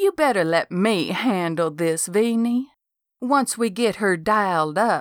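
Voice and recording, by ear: A natural voice reads aloud. Behind it, the background is quiet.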